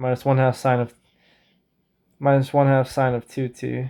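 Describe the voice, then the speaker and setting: The speaker talks at a moderate pace. The recording is very clean, with a silent background. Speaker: math tutor. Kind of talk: tutorial. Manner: casual, thinking aloud with self-corrections.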